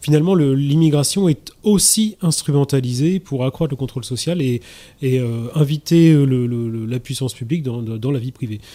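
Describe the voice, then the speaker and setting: A dark, mellow male voice, fairly high in pitch, moderately paced, with ordinary pitch variation. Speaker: political activist. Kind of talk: radio debate. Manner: halting, repeats words.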